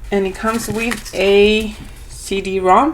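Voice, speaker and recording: Speaking very slowly with an Argentine accent, a woman at medium pitch keeps a fairly even intonation amid audible room echo and noticeable background noise. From Argentina. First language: Spanish. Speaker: homeschooling parent and vlogger. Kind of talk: product review. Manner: casual, hesitant with fillers.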